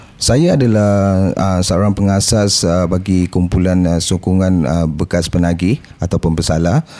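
This man's very deep voice has a dark, mellow tone and ordinary pitch variation, moving at a fairly slow pace with very even loudness and hardly any pauses. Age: 40s. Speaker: former drug addict, support group founder. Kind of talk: interview testimony. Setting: studio. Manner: halting, many fillers.

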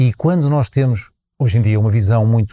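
Dry and close with no echo, a man's somewhat breathy voice has a dark, mellow tone, a medium pitch and a moderate pace. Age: 60s. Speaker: festival organizer and sustainability consultant. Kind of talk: interview. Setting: live at a festival. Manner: halting.

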